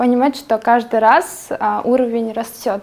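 The speaker is a woman at a moderate pace. She keeps her intonation fairly even. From Kazakhstan. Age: 20s. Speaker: entrepreneur and blogger. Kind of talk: casual interview chat. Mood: friendly, smiling.

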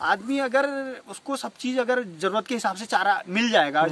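Recorded with a dry sound with no echo, a man's extremely high voice carries ordinary pitch variation. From Uttarakhand. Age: 20s. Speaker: dairy farmer. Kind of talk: interview. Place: farm machine.

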